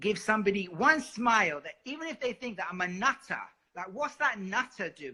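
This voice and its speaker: A man with a London accent uses a raised, projected voice, high in pitch, with an animated, bright, sharp tone. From London, England. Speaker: singer. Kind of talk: interview.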